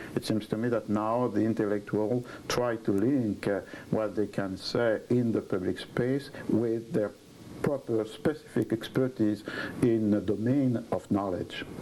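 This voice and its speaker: With a French accent, a man speaks at a fairly slow pace and medium pitch, his loudness very even and his intonation fairly even. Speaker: historian. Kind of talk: interview. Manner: halting.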